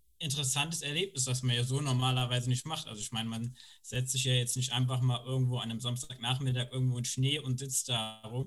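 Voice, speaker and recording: The somewhat breathy voice moves at a fairly quick pace with monotone, flat intonation. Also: man. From Koblenz, Germany. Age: 30s. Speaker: former youth worker. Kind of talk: casual group chat.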